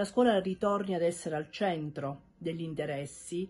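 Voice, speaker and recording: A woman speaks in a somewhat breathy voice with a dark, mellow tone. Her pitch sits fairly low. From Calabria, Cosenza; Calabria. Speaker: school principal. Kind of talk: prepared statement to camera. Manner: hesitant with fillers. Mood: earnest, hopeful. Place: home room. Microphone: phone near.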